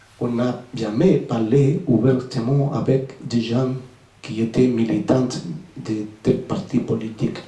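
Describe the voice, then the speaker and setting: A man at medium pitch speaks at a very slow pace with ordinary pitch variation, with audible room echo and noticeable background noise. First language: Spanish (speaking French). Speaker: author, former navy sailor. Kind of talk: book presentation Q&A. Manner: halting.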